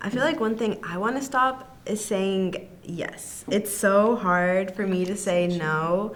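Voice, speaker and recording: Her pitch is medium with ordinary variation, and this woman speaks at a fairly slow pace. Audible room echo and noticeable background noise are present. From Arkansas. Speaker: college student podcast co-host. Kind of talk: casual chat.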